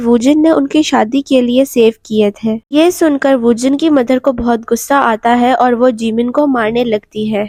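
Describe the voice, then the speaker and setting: A fairly slow speaker with ordinary pitch variation is recorded dry and close, with no echo. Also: woman. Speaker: movie recap narrator. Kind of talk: movie plot recap narration.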